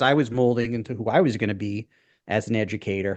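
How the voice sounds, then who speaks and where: A man speaks in a Brooklyn accent. His pitch varies in an ordinary way. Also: quiet background. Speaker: former public school teacher, podcast co-host. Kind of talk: casual chat. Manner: halting, many fillers and restarts.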